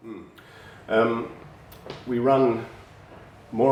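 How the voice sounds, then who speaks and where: A man with a fairly low pitch talks in a space with audible room echo. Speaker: bloodstock agent. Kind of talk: interview. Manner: hesitant, many fillers.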